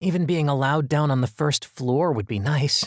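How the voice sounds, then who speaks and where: On a very clean recording with a silent background, a man puts on a character voice at a fairly high pitch and a moderate pace. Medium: read story. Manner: wistful, self-deprecating.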